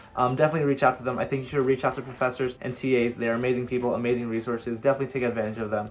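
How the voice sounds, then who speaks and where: Noticeable background noise runs under this man's voice. He talks at a very fast pace in a medium pitch. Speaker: college student YouTuber. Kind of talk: casual Q&A vlog.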